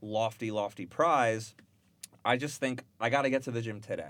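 A man with a plain, everyday voice talks at a fairly quick pace and medium pitch in a very clean recording with a silent background. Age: 30s. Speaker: software engineer. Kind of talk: casual chat.

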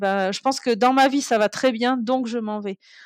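Her pace is fairly quick and her intonation fairly even as a woman speaks. The recording is very clean and silent in the background, dry and close with no echo. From Toulouse, southern France. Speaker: traveller and guesthouse owner. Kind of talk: interview storytelling. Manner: hesitant, many fillers.

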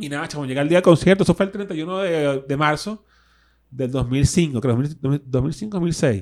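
With a plain, everyday voice, a man speaks at a fairly slow pace and a fairly high pitch, showing ordinary pitch variation, in a very clean recording with a silent background. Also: big swings in loudness. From Venezuela, Caracas (Caricuao). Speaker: guitarist, DJ and radio host. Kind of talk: casual interview chat. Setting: studio.

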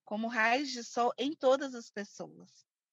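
At a very slow pace, a high-pitched woman speaks with ordinary pitch variation in a dry, close sound with no echo. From Brazil, Belo Horizonte (Minas Gerais). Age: 30s. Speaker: samba dancer and plus-size activist. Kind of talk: interview.

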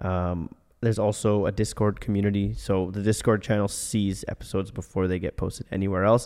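A man with a Canadian accent speaks at a fairly low pitch. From Ottawa, Canada. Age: 20s. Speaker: podcast host. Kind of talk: casual interview chat; sponsor read. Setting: studio.

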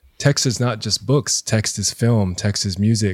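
Recorded very cleanly against a silent background, a man with an unremarkable speaking voice talks at a fairly slow pace and a fairly low pitch, and the sound is dry and close with no echo. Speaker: high school teacher and DJ. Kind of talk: casual chat.

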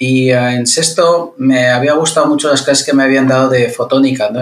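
A man with a mid-range pitch talks at a moderate speed, his intonation fairly even. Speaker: engineering professor. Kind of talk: interview conversation. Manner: engaging pleasant pace.

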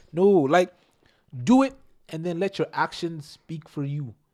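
This man has an ordinary speaking voice, pitched fairly high, with lively intonation, captured in a very clean recording with a silent background. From Nigerian household in Canada. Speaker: podcast guest, best friend of host. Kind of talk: casual chat.

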